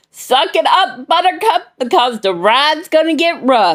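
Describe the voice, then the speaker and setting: Loud and animated, a woman speaks at a fairly slow pace with very wide pitch swings. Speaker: vlogger and lay preacher. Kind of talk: impassioned vlog rant. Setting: at home.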